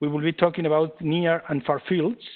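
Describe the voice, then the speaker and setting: With a Spanish accent, a man speaks at a fairly quick pace in a fairly high pitch and with fairly even intonation. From Spain. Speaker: engineering lab head and presenter. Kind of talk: webinar lecture. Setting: online webinar. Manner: halting, many fillers.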